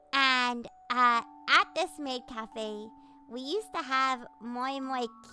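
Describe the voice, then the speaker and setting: A woman's high-pitched, raised, projected voice at a very slow pace, with music in the background. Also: big swings in loudness. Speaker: vtuber streamer. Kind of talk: casual chat with live chat. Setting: livestream. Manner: loud.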